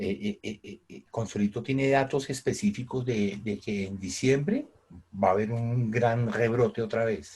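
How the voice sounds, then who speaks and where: A man speaks at a medium pitch and a fairly slow pace, somewhat breathy. His loudness swings widely, while his pitch varies in an ordinary way. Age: 60s. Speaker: teacher. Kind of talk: online class. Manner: halting, many repetitions.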